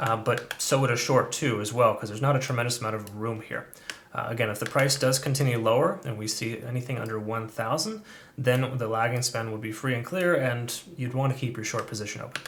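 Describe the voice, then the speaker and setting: With noticeable background noise behind him, a man speaks at a medium pitch and a fairly quick pace, his intonation fairly even. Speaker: crypto trading analyst. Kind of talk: market analysis video commentary. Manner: fast; casual, filler-heavy.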